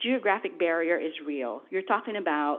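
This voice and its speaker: In a Filipino accent, the speaker talks at a moderate pace with lively intonation. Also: woman. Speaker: federal government official, panelist. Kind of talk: panel discussion. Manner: animated.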